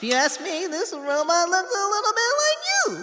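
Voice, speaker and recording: The put-on character voice sits at an extremely high pitch and swings very widely in pitch at a moderate pace, with clear background noise behind it. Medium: audio drama. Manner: casual, eager, hesitant.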